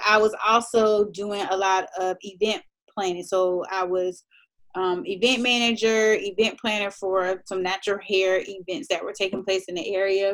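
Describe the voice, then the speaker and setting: Speaking at a moderate pace and a medium pitch, a woman has an unremarkable speaking voice. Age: 30s. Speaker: lifestyle blogger. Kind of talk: casual chat.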